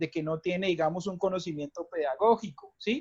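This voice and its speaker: A man's high-pitched voice. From Colombia. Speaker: English teacher and academic coordinator. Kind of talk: casual panel discussion. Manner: halting, many repetitions and fillers.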